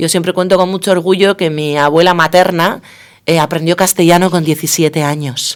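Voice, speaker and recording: Speaking at a fairly quick pace in a Basque accent, a woman keeps a monotone, flat intonation at a fairly low pitch. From Basque Country, Spain. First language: Basque (speaking Spanish). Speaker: political science professor. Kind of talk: radio interview.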